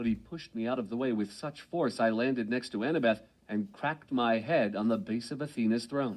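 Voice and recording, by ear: This is reading aloud. The voice is natural.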